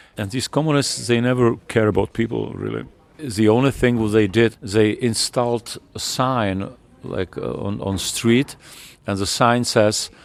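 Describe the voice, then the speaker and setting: In a Czech accent, a man speaks at a fairly slow pace. His medium pitch carries fairly even intonation. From Czech Republic, Teplice. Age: 60s. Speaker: rock musician. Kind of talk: interview. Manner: halting.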